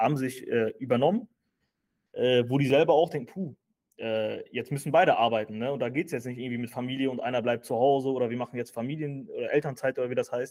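This man speaks at a medium pitch. His pitch variation is ordinary. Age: 30s. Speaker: finance content creator and entrepreneur. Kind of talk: casual interview chat. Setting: office. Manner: hesitant with frequent fillers.

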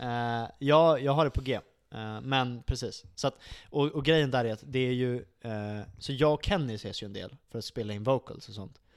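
In a plain, everyday voice, a man speaks at a moderate pace and medium pitch with ordinary pitch variation, on a very clean recording with a silent background. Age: 20s. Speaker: metal band musician. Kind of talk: casual chat. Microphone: close to mic, moved it back.

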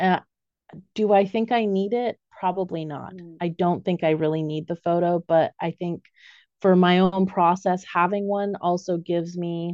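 A woman speaks at a moderate pace with fairly low pitch, fairly even intonation and an American accent, in a normal speaking voice. The sound is dry and close with no echo, over a quiet background. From raised overseas, US family. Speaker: animal soul reader and artist. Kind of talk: interview conversation.

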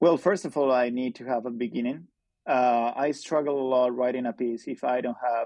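Moderate pace and fairly even intonation in a Spanish accent. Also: man. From Spain. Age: 20s. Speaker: journalist. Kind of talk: interview conversation. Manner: halting.

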